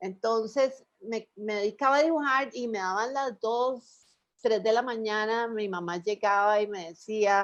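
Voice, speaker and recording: A woman with a Costa Rican accent speaks at a fairly high pitch. She goes at a fairly slow pace with ordinary pitch variation. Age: 60s. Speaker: illustrator. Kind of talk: radio interview. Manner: conversational, storytelling.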